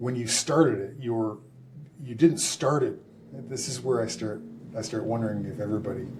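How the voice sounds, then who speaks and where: With a Canadian accent and medium pitch, a man speaks at a moderate pace with ordinary pitch variation, big swings in loudness, and long, frequent pauses, amid audible room echo and noticeable background noise. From Canada. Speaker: former pro football player and public speaker. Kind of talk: casual chat.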